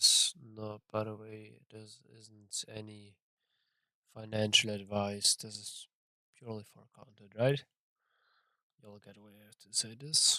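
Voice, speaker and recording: A man with a non-native accent talks at a fairly slow pace, leaving long, frequent pauses, and his loudness swings widely. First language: not English. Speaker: trader streaming his trading session. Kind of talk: live trading commentary. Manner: casual, halting with fillers.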